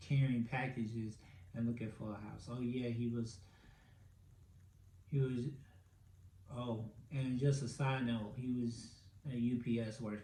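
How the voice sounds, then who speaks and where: A man with medium pitch speaks in a somewhat breathy, dark, mellow tone with monotone, flat intonation, and audible room echo surrounds him. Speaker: podcast host. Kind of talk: casual solo podcast commentary. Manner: filler-heavy, stammering.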